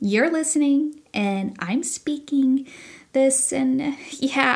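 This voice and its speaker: Over a silent background in a very clean recording, a woman with a Southern US accent and a high pitch speaks at a fairly slow pace. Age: 30s. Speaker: podcast host. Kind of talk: personal storytelling monologue. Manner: casual, with fillers.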